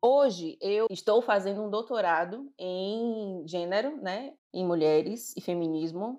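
Over a quiet background, a woman with an unremarkable speaking voice and medium pitch talks with lively intonation. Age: 30s. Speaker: diversity consultant. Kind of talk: interview.

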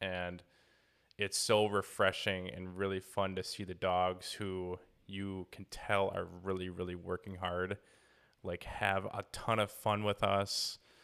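In a Wisconsin accent, a man speaks at a very slow pace with a very deep, low pitch and monotone, flat intonation. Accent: Wisconsin accent, noticeable. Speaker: dog trainer and podcast host. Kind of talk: casual chat.

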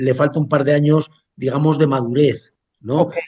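A man speaks at a fairly slow pace with a fairly high pitch and a dark, mellow tone. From Basque Country, Spain. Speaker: chef. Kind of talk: interview. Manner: halting, many fillers.

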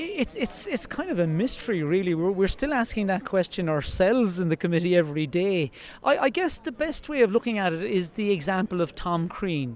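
With a Cork accent, a man talks at a fairly quick pace in a high pitch, his intonation lively and his pauses hardly any. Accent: Irish (Cork). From Ireland. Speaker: wildlife guide and monument committee chair. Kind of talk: outdoor interview.

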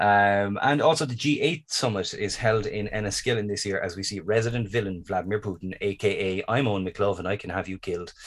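A man with a Dublin accent, fairly low in pitch with ordinary pitch variation, at a fairly quick pace with hardly any pauses, on a very clean recording with a silent background. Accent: Irish (Dublin). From Ireland. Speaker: podcast host. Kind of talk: casual chat.

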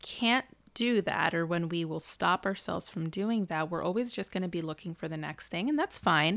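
The speech moves at a moderate pace. Its pitch variation is ordinary. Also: woman, fairly low pitch for a woman. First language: not English. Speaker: therapist and podcast co-host. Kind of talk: casual chat.

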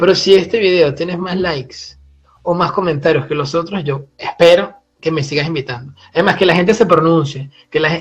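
A high-pitched male voice with a Venezuelan accent at a moderate pace. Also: ordinary pitch variation. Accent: Venezuelan, drops final s. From Venezuela, Puerto la Cruz (eastern coast). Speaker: seismology PhD student. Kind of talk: casual chat.

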